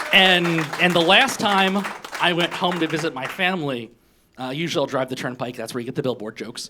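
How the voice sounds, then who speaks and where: Over crowd noise in the background, a man with an American accent speaks fairly high and fairly quickly, with lively intonation. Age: 40s. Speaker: stand-up comedian. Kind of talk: stand-up. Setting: stage with audience. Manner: fast.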